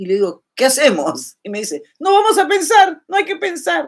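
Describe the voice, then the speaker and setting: With a quiet background behind her, a woman talks at a moderate pace while her pitch swings very widely. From Peru. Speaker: YouTuber. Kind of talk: casual livestream chat. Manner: animated. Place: home room. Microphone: webcam.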